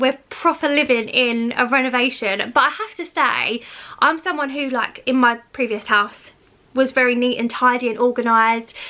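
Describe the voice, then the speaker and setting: Her voice is raised and projected, high in pitch with a bright, sharp tone. The woman uses ordinary pitch variation. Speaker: lifestyle vlogger. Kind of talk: casual video walkthrough. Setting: at home. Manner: fast.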